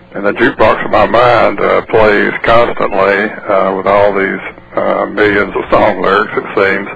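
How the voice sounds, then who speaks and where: Noticeable background noise accompanies a man speaking with a Mississippi accent. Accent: Mississippi Southern US. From US South. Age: 60s. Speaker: novelist and former drug enforcement officer. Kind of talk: radio interview. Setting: phone call. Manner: hesitant with many fillers.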